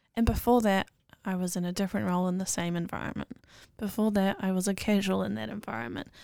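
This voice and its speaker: Very fast, lively speech from a woman at medium pitch with a New Zealand accent, on a very clean recording with a silent background. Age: 20s. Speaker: podcast guest. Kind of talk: casual chat.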